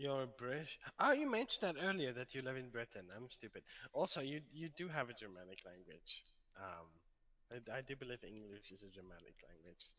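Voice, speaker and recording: Bright and sharp in tone, a man talks at a fairly quick pace at a medium pitch, his pitch swinging very widely and his loudness rising and falling a lot. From South Africa. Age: 20s. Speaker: livestreamer and hardware developer. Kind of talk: casual chat. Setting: live stream.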